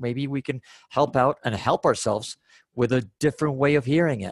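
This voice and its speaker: Recorded very cleanly with a silent background, a man's fairly high voice sounds dry and close with no echo. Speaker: podcast co-host. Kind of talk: casual chat. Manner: fast.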